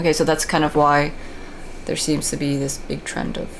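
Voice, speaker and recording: Audible room echo and noticeable background noise surround a woman talking in an American accent. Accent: American, thick (self-described jokingly). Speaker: video game guide creator. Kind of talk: commentated gameplay tutorial. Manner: casual, many fillers and restarts.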